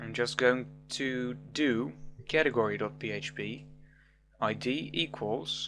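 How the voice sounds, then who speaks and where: A man with a non-native accent at a very slow pace, with long, frequent pauses and music in the background. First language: not English. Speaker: programming tutor. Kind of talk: tutorial.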